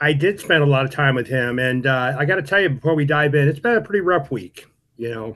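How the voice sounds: With lively intonation and a fairly bright tone, a man speaks at a fairly high pitch. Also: fairly quick pace.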